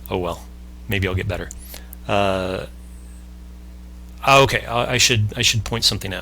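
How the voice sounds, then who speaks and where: A man with a fairly low pitch and vocal fry speaks in a bright, sharp tone, his pitch swinging very widely, with long, frequent pauses. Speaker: podcast host explaining a concept. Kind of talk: explanatory conversation. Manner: fast; halting, self-correcting.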